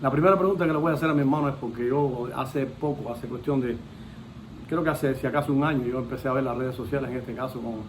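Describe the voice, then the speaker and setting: With audible room echo, a man of medium pitch speaks at a very fast pace with fairly even intonation and long, frequent pauses. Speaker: interviewer. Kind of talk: interview.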